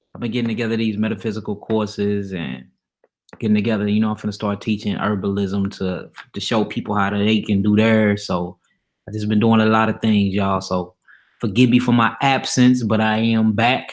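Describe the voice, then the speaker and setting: The speaker has an animated tone and a fairly quick pace. The recording is very clean, with a silent background. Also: man, fairly low pitch for a man. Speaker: religious teacher. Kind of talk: Bible teaching livestream. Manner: casual, animated.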